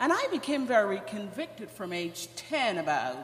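Room echo and noticeable background noise surround the recording. A woman with a Guyanese accent speaks with very wide pitch swings. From Guyana. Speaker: church member. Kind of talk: testimony. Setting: church.

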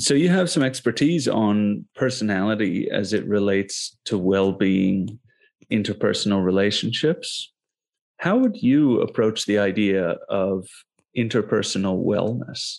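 Against a quiet background, a man talks fairly slowly in a plain, everyday voice. His pitch is fairly low with ordinary variation, and his loudness stays very even. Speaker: podcast co-host. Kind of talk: podcast interview.

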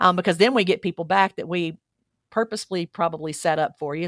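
With a Southern US accent, a woman with a fairly low pitch talks very fast, recorded very cleanly against a silent background with a dry, close sound and no echo. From Alabama, US South. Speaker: church executive minister. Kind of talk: casual interview chat.

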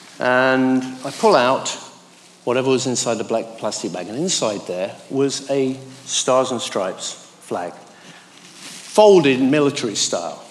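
Noticeable background noise sits behind a man with a medium pitch. He talks at a fairly slow pace with lively intonation. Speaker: church speaker. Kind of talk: devotional talk. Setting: church.

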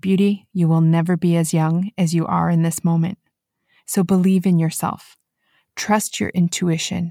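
A woman's fairly low, dark, mellow voice at a moderate pace, monotone and flat in intonation, very even in loudness, dry and close with no echo, in a very clean recording with a silent background. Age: 40s. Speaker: podcast host. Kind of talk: solo podcast monologue.

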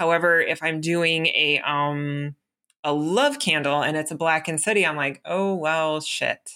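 Speaking at a fairly slow pace, a woman with a very deep, low pitch and a bright, sharp tone keeps a fairly even intonation on a very clean recording with a silent background. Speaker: podcast co-host. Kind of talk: casual chat.

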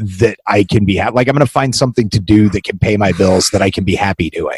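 A man with a fairly low pitch speaks in a somewhat breathy voice, recorded with a dry, close sound and no echo. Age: 40s. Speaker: podcast host and writer. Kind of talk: casual interview; scripted intro.

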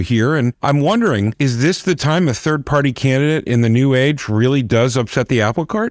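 A man's medium-pitched, plain, everyday voice at a fairly quick pace, with dry, close sound and no echo. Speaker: podcast co-host. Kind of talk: podcast interview. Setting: remote recording.

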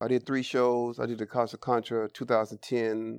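A man with an American accent speaks fairly quickly in a flat monotone. The sound is dry and close with no echo, and the background is quiet. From San Francisco Bay Area, California. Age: 40s. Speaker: formerly incarcerated reentry mentor. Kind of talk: interview testimony.

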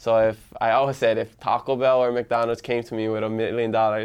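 In a Hawaiian accent, a man speaks at a moderate pace and medium pitch with monotone, flat intonation against a quiet background. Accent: Hawaii local English. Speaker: social media influencer, podcaster. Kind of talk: casual interview.

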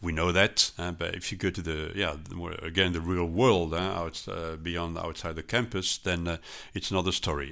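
Bright and sharp in tone, the voice moves at a fairly quick pace in a French accent with fairly even intonation, on a very clean recording with a silent background. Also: man. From France, Strasbourg. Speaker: intercultural trainer and consultant. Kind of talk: interview. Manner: hesitant, many fillers.

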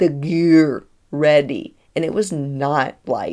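A woman with a fairly low pitch and an American accent is heard on a very clean recording over a silent background. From Tennessee. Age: 30s. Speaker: spiritual podcast host. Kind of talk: casual storytelling monologue; guided breathwork. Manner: animated.

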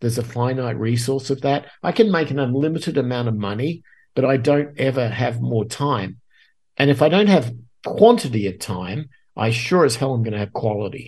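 Against a quiet background, a man with a medium pitch and a somewhat breathy voice speaks at a moderate pace with ordinary pitch variation. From Australia. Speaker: guest podcaster and musician. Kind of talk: casual interview.

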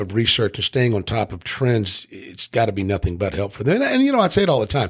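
In a very clean recording with a silent background, a man talks at a very fast pace in an animated, somewhat breathy tone. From Tennessee. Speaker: podcast host. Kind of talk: casual interview chat.

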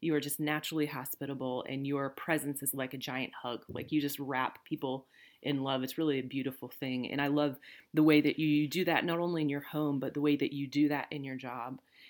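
Over a silent background on a very clean recording, the speaker talks at a fairly quick pace with a Midwestern accent and flat, monotone intonation. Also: woman, very deep, low pitch for a woman. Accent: General American (Midwest). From central Illinois, US. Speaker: podcast co-host, pastor. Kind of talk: casual conversation.

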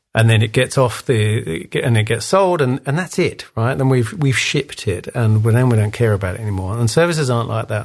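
With an English accent, a man speaks fairly quickly at medium pitch, somewhat breathy, with ordinary pitch variation. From England. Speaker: design leadership coach. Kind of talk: interview.

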